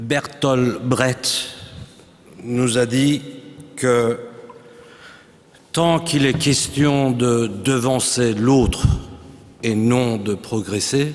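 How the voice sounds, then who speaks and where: A man of medium pitch speaks at a very slow pace with fairly even intonation and long, frequent pauses. Noticeable background noise runs behind him. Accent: non-native. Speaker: writer. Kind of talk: talk at a round table. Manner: halting.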